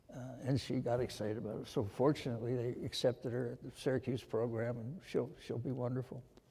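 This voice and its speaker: Talking at a very fast pace in an American accent, a man has a dark, mellow, somewhat breathy tone and fairly even intonation. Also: medium pitch for a man. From USA. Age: 80s+. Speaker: surgeon and medical researcher. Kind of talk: interview on stage.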